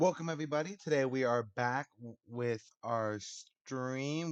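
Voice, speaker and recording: A man talks at a fairly slow pace with ordinary pitch variation, against a quiet background. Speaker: gaming streamer. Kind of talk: casual stream chat. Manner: loud.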